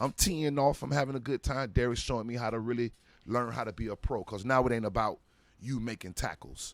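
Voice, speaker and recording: A man with an American accent speaks with vocal fry and ordinary pitch variation. The recording is very clean, with a silent background. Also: medium pitch for a man. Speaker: former pro football player. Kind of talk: casual interview storytelling. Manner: animated.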